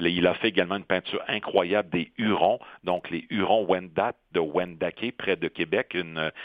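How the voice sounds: A man talks with low pitch and fairly even intonation. The sound is dry and close, with no echo. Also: moderate pace.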